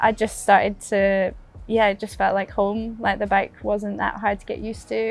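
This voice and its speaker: A woman in a Scottish accent, fairly high in pitch, at a moderate pace over music in the background. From Fort William, Scotland. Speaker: downhill mountain bike racer. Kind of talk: interview answer. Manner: casual, cheerful.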